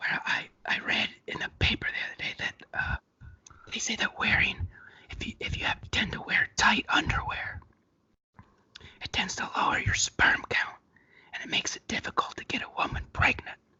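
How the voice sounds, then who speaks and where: Whispering, a man leaves long, frequent pauses while his loudness swings widely. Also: moderate pace. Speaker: comedian, co-host of an ASMR comedy show. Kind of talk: casual comedy banter with ASMR-style soft delivery.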